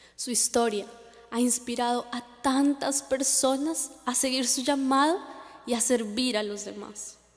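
The speaker talks at a fairly slow pace with fairly even intonation. Music plays in the background. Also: woman, high pitch for a woman. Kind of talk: memorial speech. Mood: solemn, emotional. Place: stage.

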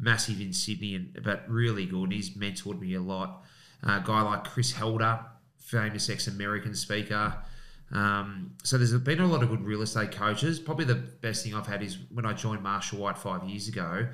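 Over a quiet background, a man with an Australian accent and a fairly low, bright, sharp voice speaks at a moderate pace with lively intonation. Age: 40s. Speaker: real estate agent and auctioneer; auctioneer. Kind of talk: casual chat. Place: studio. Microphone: studio mic.

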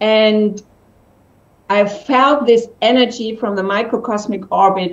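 A woman with a German accent at a fairly high pitch, at a very slow pace. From Germany. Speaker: entrepreneur; interview guest. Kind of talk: interview. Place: home room. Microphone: video call.

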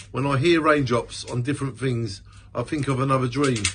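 Fairly even intonation at a moderate pace, with light background noise. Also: man. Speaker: amateur poet. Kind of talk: spoken-word poetry reading. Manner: earnest, rhythmic, with repeated refrains. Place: home room. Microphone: phone near.

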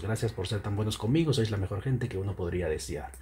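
A soft-spoken, somewhat breathy man with a dark, mellow tone, fairly low pitch, ordinary pitch variation and a fairly quick pace. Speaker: YouTube commentator. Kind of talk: online commentary. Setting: home at night.

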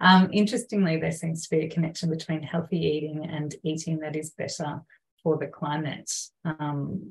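Somewhat breathy and with fairly even intonation, the voice carries an Australian accent against a quiet background. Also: woman. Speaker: council climate engagement officer, moderator. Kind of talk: webinar moderation. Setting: video call webinar. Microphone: video call.

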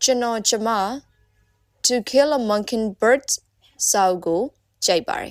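A woman with a Burmese accent and fairly high pitch, very slow pace, long, frequent pauses and ordinary pitch variation, on a very clean recording with a silent background. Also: dry, close sound with no echo. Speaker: English teacher. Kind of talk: language lesson drill. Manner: slow, repeated phrases.

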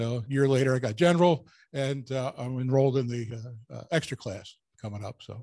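Speaking at a fairly quick pace, a man with a medium pitch and a dark, mellow tone uses ordinary pitch variation.

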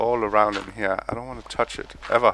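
A man with a Danish accent talks at a moderate pace. His pitch sits in the medium range. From Denmark. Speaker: gaming YouTuber. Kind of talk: gameplay commentary. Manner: casual and meandering.

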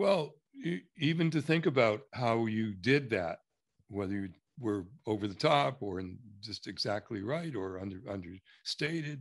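A man's medium-pitched voice at a moderate pace, with very wide pitch swings and long, frequent pauses over a quiet background. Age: 70s. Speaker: structural consultant. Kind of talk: one-on-one consultation session. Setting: recorded video call. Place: home room. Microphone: video call.

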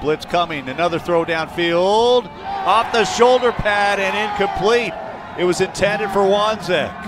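This man's voice sits high for a man, with ordinary pitch variation. He talks at a fairly slow pace over noticeable background noise. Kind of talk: live play-by-play sports commentary.

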